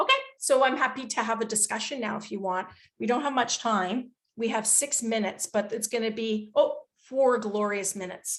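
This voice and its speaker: Here is a woman with a Canadian accent and a plain, everyday voice. She speaks at a fairly high pitch and a moderate pace, with fairly even intonation. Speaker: psychologist and researcher. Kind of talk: webinar Q&A answer.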